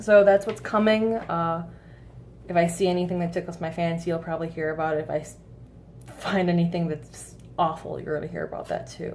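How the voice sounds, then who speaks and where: With audible room echo, a woman speaks at a fairly quick pace and with fairly even intonation. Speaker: vape flavor reviewer. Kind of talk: casual vlog review. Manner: hesitant, many fillers.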